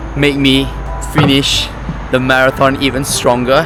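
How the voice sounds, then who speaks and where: With a non-native accent and medium pitch, a man speaks amid audible room echo and noticeable background noise. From Myanmar. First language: not English. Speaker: vlogger. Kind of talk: casual vlog talk to camera. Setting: outdoors, walking home.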